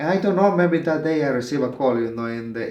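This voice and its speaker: A man with a Spanish accent speaks at a very fast pace in a fairly high pitch with ordinary pitch variation, with audible room echo. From El Salvador. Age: 30s. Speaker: asylum seeker. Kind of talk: personal testimony interview. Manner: halting, many fillers.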